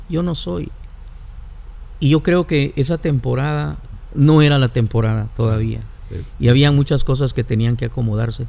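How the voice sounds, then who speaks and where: At a moderate pace with long, frequent pauses, a man speaks at medium pitch in a dark, mellow tone, his pitch swinging very widely. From Guatemala. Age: 50s. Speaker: pastor. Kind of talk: casual chat. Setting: studio.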